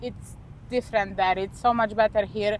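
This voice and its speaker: With a Polish accent, a woman speaks at a fairly high pitch. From Poland. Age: 20s. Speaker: expat interviewee. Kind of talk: interview.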